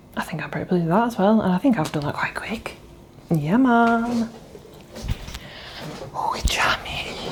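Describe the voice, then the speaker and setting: A woman's fairly high voice with a British accent, lively intonation and long, frequent pauses, over noticeable background noise. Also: moderate pace. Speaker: new mother. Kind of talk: casual family vlog talk to camera.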